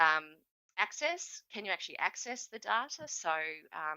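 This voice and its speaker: This woman has a very deep, low pitch. She speaks with an Australian accent. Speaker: government statistician. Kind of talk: conference presentation. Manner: fast; hesitant, many fillers.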